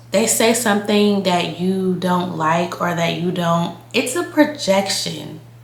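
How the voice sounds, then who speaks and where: At a fairly slow pace, a woman talks with lively intonation. Her pitch is medium, and noticeable background noise is present. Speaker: lifestyle YouTuber. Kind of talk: casual talk to camera. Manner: casual, conversational.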